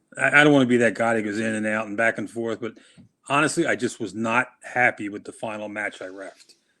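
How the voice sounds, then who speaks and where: This man has a fairly low pitch and talks at a fairly quick pace. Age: 50s. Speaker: wrestling referee. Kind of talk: interview. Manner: halting.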